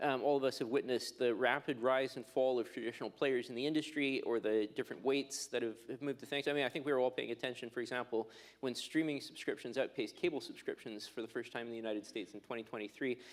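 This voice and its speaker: A man speaks with a strong Canadian accent. His pace is very fast. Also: medium pitch for a man, fairly even intonation, hardly any pauses. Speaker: telecom regulator. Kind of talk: conference panel talk.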